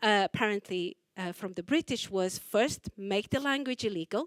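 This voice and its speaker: A woman with a fairly high pitch and a Portuguese accent speaks with lively intonation in a dry, close, echo-free recording that is very clean with a silent background. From Portugal. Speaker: choreographer. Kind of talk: artist talk interview. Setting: library talk with audience.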